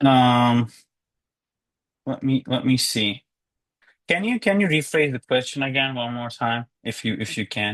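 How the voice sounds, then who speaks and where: A man with a slight Turkish accent at a medium pitch, a fairly slow pace and long, frequent pauses, ordinary pitch variation, a dry, close sound with no echo, and a quiet background. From Turkey. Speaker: law graduate. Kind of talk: interview. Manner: halting.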